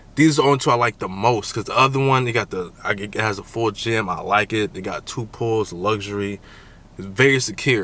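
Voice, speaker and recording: At a moderate pace, a man with a medium-pitched voice speaks with ordinary pitch variation. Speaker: vlogger. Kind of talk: casual vlog. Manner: animated.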